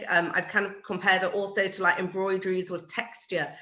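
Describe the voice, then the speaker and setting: A woman's medium-pitched voice with a British accent. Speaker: floral designer. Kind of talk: casual chat.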